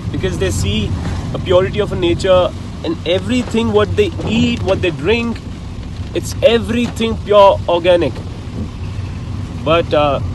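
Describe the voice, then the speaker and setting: Over noticeable background noise, a man speaks at a moderate pace with very wide pitch swings, the sound dry and without echo. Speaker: travel vlogger. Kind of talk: casual vlog chat. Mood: reflective, earnest. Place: car. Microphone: phone near.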